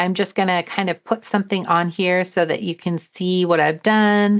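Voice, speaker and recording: This woman has an ordinary speaking voice, medium in pitch, with fairly even intonation and a moderate pace. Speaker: educator presenting coding webinar. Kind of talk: webinar tutorial.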